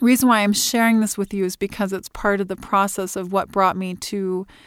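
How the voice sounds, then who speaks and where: A woman talks with an American accent at a medium pitch and moderate pace, her intonation monotone and flat. The recording is very clean with a silent background. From Illinois, US Midwest. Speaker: Pilates studio owner and podcast host. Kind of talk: casual solo podcast monologue. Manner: hesitant, many fillers.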